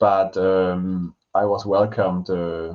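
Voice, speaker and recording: A man's very deep, low voice with a German accent. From Germany. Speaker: language teacher and podcast co-host. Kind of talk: casual chat. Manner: hesitant.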